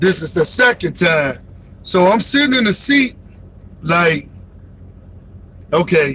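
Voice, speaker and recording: Loud and animated, a man with a high pitch and very wide pitch swings speaks at a fairly slow pace with long, frequent pauses over noticeable background noise. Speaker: truck driver trainer vlogger. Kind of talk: casual storytelling livestream. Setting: in a truck.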